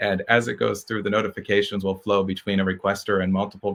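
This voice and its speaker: Fairly low-pitched man's voice, bright and sharp in tone, at a fairly quick pace. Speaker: tech startup co-founder and programmer. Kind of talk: conference presentation. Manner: halting, many fillers and self-corrections; fast.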